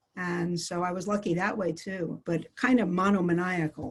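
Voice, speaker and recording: With an American accent, a woman speaks in a fairly low, somewhat breathy voice. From US, New York City. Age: 60s. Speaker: clinical psychologist. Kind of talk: interview. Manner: halting.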